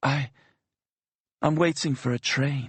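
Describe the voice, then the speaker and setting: It is a put-on character voice with a raspy edge. The intonation stays fairly even. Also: man. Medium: read story. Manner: hesitant, stammering.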